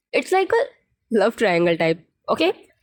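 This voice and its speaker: A woman talks at a moderate pace. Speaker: storyteller YouTuber. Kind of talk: casual chat then story narration. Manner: animated.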